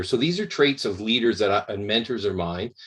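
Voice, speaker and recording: A man with a Canadian accent speaks with fairly even intonation on a very clean recording with a silent background. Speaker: emergency medicine professor. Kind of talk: lecture. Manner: slow, articulate.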